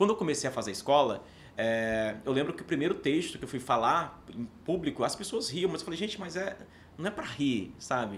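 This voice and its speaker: The pace of this man's speech is fairly quick. Very wide swings mark his pitch. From Paraíba backlands, Northeast Brazil. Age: 30s. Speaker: actor and theatre teacher. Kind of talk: podcast interview. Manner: hesitant, repeats words.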